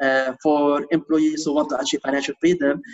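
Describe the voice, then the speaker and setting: A man speaks at a fairly quick pace with lively intonation. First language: not English. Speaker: real estate investor and author. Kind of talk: interview. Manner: hesitant, many fillers and repeats.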